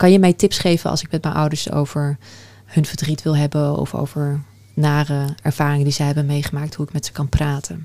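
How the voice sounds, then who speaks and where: Her pitch very deep and low, a woman talks at a fairly quick pace with a dark, mellow tone and monotone, flat intonation. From Netherlands, Afghan family background. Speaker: podcast host. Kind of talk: interview.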